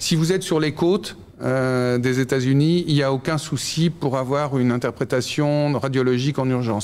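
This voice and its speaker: A man's fairly slow speech shows ordinary pitch variation. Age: 60s. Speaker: startup founder. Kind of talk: interview. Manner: halting.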